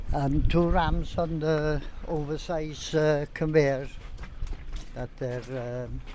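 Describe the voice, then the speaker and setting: A man at a very slow pace, with long, frequent pauses, a fairly high pitch, fairly even intonation and audible room echo. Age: 70s. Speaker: plant fitter. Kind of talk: casual interview. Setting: outdoors at a quarry. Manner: halting.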